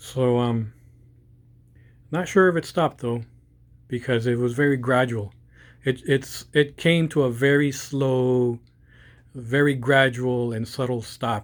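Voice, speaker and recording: Long, frequent pauses break up a man's speech, which runs at a fairly slow pace with a medium pitch and fairly even intonation. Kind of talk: casual commentary to camera. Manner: hesitant, choppy.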